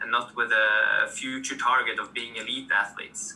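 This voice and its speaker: A man talks with a Norwegian accent. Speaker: sports administrator. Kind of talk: interview.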